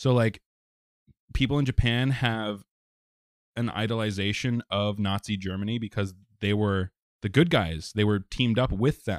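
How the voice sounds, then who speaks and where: The speaker has an ordinary speaking voice, moderate pace and ordinary pitch variation. The recording is very clean with a silent background, dry and close with no echo. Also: man, fairly low pitch for a man. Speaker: podcast host. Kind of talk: casual banter podcast chat.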